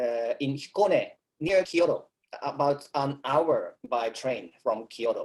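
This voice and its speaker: A man speaks with a Japanese accent. His pace is very slow. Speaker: Zen temple abbot. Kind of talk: talk. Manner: halting.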